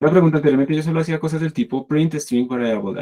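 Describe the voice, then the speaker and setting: Fairly high for a man yet dark and mellow in tone, his voice moves at a fairly quick pace with lively intonation. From Latin America. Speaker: university programming teacher. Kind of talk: online lecture.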